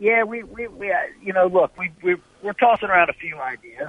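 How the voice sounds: Speaking at a fairly quick pace with lively intonation, a man with a high pitch comes through in a dry, close sound with no echo.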